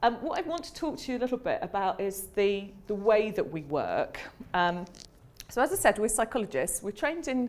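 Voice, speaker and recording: Speech with a British accent moves at a fairly quick pace. The pitch swings very widely. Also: woman. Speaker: academic psychologist giving a seminar talk. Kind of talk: lecture. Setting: seminar room with audience. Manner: fast; hesitant, many fillers.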